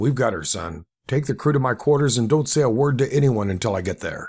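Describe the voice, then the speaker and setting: A man puts on a raspy character voice at medium pitch. His pace is fairly quick and his intonation lively. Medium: read story. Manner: terse, authoritative.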